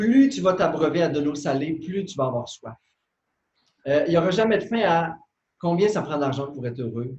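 With a Saguenay–Lac-Saint-Jean accent, a man with a fairly high pitch uses lively intonation and takes long, frequent pauses. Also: moderate pace, big swings in loudness. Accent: Quebec French (Saguenay–Lac-Saint-Jean). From Quebec, Lac-Saint-Jean. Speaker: meditation teacher and author. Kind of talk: interview.

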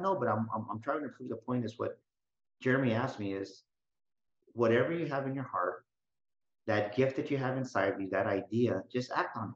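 A man talks at a fairly quick pace in a normal speaking voice, medium in pitch with ordinary pitch variation. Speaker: motivational speaker and business coach. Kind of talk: interview.

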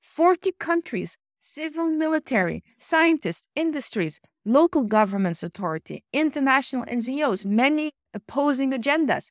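A woman's high-pitched voice with very wide pitch swings at a moderate pace, in a dry, close sound with no echo on a very clean recording with a silent background. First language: not English. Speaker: emotional intelligence coach and podcast host. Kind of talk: solo podcast monologue.

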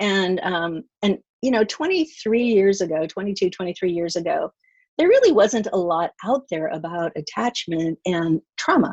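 A woman with an ordinary speaking voice talks at a fairly slow pace in a medium pitch, her intonation lively, with a dry, close sound, no echo, and a quiet background. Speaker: marriage and family therapist. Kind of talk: interview.

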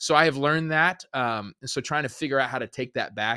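A man with an American accent, bright and sharp in tone, at a fairly quick pace, in a dry, close recording with no echo, very clean against a silent background. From Arizona. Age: 30s. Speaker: pastor. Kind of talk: casual chat.

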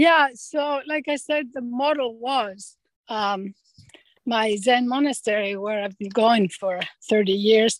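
A woman's very slow speech in a Greek accent with ordinary pitch variation. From Greece. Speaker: retreat center director. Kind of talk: casual interview.

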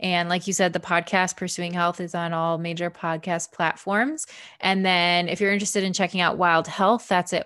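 A woman speaks at a medium pitch with a bright, sharp tone. The recording is very clean, with a silent background. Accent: Midwestern American. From Michigan, suburb of Detroit. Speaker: family physician and former CrossFit athlete. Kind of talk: interview.

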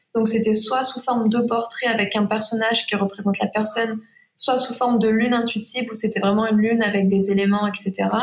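A woman with a fairly high pitch talks at a fairly quick pace. Her loudness stays very even. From Provence. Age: 20s. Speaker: watercolour illustrator. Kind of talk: interview.

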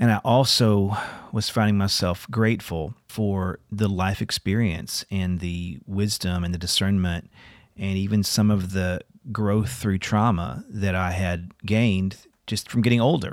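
A man with a fairly low pitch uses an ordinary speaking voice at a fairly slow pace. His intonation is fairly even, in a very clean recording with a silent background. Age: 50s. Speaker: singer-songwriter and podcast host. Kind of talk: casual chat with reflective narration.

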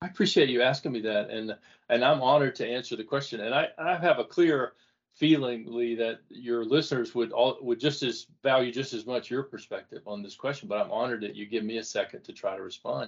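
Speaking at a fairly quick pace, a man has an unremarkable speaking voice, medium pitch and ordinary pitch variation. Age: 60s. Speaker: author and former CEO. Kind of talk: casual interview conversation.

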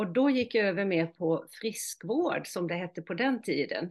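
The woman speaks at a fairly slow pace. Her pitch variation is ordinary. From Halland, Sweden. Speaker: hypnotherapist. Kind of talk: interview.

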